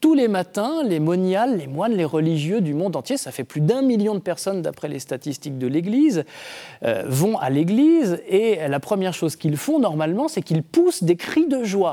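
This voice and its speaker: A man's high, dark, mellow voice with very wide pitch swings, at a moderate pace. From Brittany, France. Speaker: Dominican friar and theologian. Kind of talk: TV book discussion. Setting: TV set in a bookshop.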